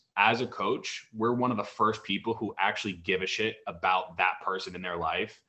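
Fairly low in pitch, a man with an American accent and a plain, everyday voice talks at a moderate pace with fairly even intonation. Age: 30s. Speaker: fitness coach. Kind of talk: casual chat.

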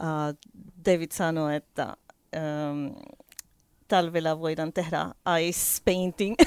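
A woman with a Spanish accent speaks at a fairly low pitch. Her pitch varies in an ordinary way, and the sound is dry and close with no echo. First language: Spanish (speaking Finnish). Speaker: winery owner. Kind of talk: radio interview. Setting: radio studio. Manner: halting, many fillers.

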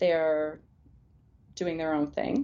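A woman with a Canadian accent speaks at a fairly low pitch with ordinary pitch variation. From Alberta, Canada. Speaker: family physician. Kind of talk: interview.

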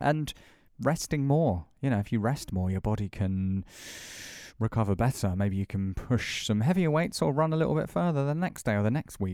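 A man with a British accent, a dark, mellow tone, fairly low pitch and very wide pitch swings, on a very clean recording with a silent background. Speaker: podcast co-host. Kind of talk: casual chat.

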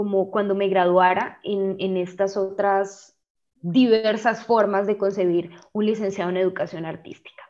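This woman has a medium pitch and a dark, mellow tone, her intonation fairly even against a quiet background. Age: 20s. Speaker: arts education student and singer. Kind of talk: interview conversation.

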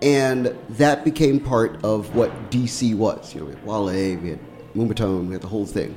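Over noticeable background noise, a man with an American accent speaks at a moderate pace and medium pitch, with lively intonation and big swings in loudness. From Washington, D.C. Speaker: radio host. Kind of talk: casual chat. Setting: studio.

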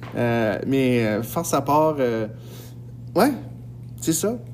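A man is heard through audible room echo. Noticeable background noise runs behind him. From northern New Brunswick, Edmundston. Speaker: high school French teacher, podcast host. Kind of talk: casual podcast monologue. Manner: hesitant, many fillers.

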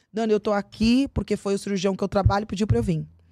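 An animated tone at a fairly quick pace comes through a very clean recording, dry and close with no echo and a silent background. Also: woman. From Brazil, São Paulo and Cuiabá, Mato Grosso. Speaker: aesthetician and beauty professional. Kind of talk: casual interview chat.

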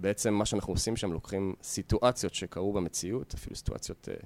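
No echo at all, a dry, close sound, and ordinary pitch variation. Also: man. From Israel, Yehud. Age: 30s. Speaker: fitness entrepreneur and martial arts coach. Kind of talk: interview.

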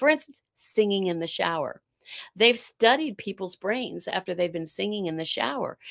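A woman keeps a moderate pace in a very clean recording where the background is silent. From South Carolina, US. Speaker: art expert and life coach. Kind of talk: casual interview chat.

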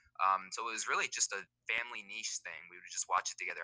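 With an American accent, a man speaks at a very fast pace. The sound is dry and close, with no echo. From US West (Nevada). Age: 20s. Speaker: motorsports YouTuber. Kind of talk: casual interview. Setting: online call.

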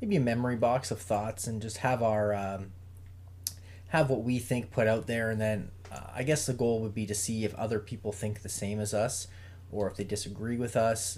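A man speaks at a moderate pace in a fairly low, somewhat breathy voice with fairly even intonation. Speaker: podcast co-host. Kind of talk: casual chat.

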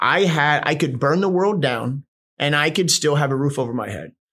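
A man with an American accent and a normal speaking voice talks at a moderate pace and fairly high pitch with ordinary pitch variation, in a very clean recording with a silent background. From Houston, Texas (born West Virginia). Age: 30s. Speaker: boxing coach and gym owner in addiction recovery. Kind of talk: casual interview, personal testimony.

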